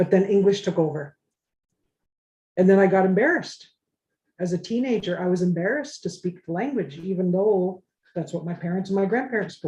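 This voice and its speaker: A woman with a medium pitch and a dark, mellow tone talks somewhat breathily at a fairly quick pace, with ordinary pitch variation and long, frequent pauses. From Anishinaabe reserve community, Canada. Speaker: elder language speaker. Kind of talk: casual group discussion. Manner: halting.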